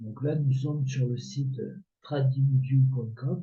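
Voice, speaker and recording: A man's medium-pitched, somewhat breathy voice with a dark, mellow tone, at a very slow pace, with audible room echo. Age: 60s. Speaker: amateur trader and video creator. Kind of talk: casual tutorial. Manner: hesitant, many filler words.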